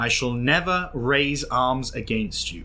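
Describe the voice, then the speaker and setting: With music in the background, a man talks in a calm tone at a fairly slow pace. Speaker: voice actor playing a character. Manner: calm, sly, deliberate.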